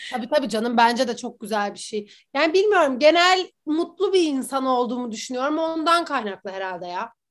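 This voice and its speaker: Against a quiet background, a woman with a high pitch talks at a fairly quick pace in an energetic tone, her pitch swinging very widely. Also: hardly any pauses. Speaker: influencer and former brand manager. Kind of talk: casual chat.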